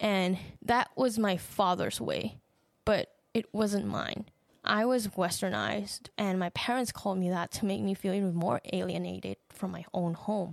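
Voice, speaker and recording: A woman with a Thai accent at a medium pitch, with ordinary pitch variation and a moderate pace, in a very clean recording with a silent background. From Thailand. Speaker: podcast host. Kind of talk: personal monologue.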